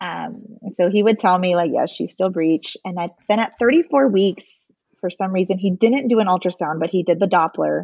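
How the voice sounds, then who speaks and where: A woman with a normal speaking voice talks at medium pitch and a moderate pace, in a dry, close sound with no echo. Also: ordinary pitch variation. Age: 30s. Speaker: stay-at-home mom, former nurse. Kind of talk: casual interview.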